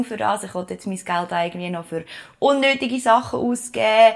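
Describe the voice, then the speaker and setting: Moving at a fairly quick pace, a woman speaks with ordinary pitch variation. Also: big swings in loudness. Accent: Swiss. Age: 30s. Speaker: podcast co-host, communications consultant. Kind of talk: casual chat.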